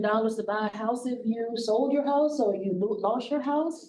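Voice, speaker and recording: A woman speaks with a Southern US accent at a moderate pace. The room echo is audible. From US South. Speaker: county aging services director, forum facilitator. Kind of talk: public forum facilitation. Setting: public forum with audience. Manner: loud.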